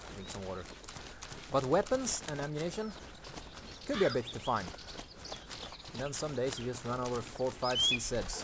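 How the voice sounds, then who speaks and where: Lively intonation marks this man's medium-pitched voice, set against noticeable background noise. He moves at a fairly quick pace yet leaves long, frequent pauses. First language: not English. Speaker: gaming commentator. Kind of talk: gameplay commentary. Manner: casual, conversational.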